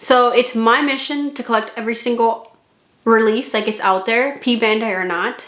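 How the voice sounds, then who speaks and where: In a room with audible echo, a woman with a fairly high pitch speaks at a moderate pace. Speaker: model kit reviewer. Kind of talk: product review vlog. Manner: casual, chatty.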